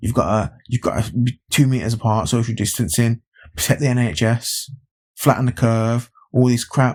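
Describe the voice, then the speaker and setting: A man with an English Midlands accent talks at a moderate pace and medium pitch. The sound is dry and close with no echo, and the recording is very clean with a silent background. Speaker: YouTube commentator. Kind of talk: opinion vlog. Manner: animated, repetitive.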